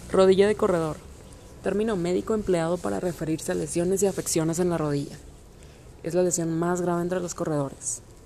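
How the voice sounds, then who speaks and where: Here is a woman with an unremarkable speaking voice. She talks at a fairly quick pace and a fairly low pitch, with ordinary pitch variation. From Mexico, Monterrey. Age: 20s. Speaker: amateur runner. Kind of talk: scripted narration.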